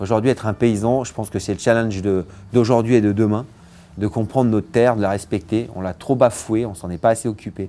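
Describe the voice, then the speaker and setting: A man's fairly low voice with a dark, mellow tone, fairly even intonation and a fairly quick pace. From France, Vercors near Grenoble. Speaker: chef. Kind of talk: interview testimony. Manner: halting, many repetitions.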